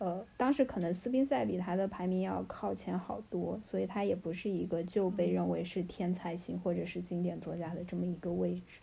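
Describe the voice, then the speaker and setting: Hardly any pauses interrupt this speech, which keeps a moderate pace. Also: woman. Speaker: PhD student in comparative literature. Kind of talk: casual chat.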